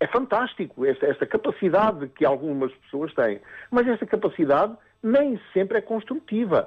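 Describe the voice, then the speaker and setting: A man's high voice with very wide pitch swings at a moderate pace. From Mozambique. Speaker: psychotherapist. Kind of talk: radio interview. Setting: phone call. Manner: halting, many repetitions and fillers.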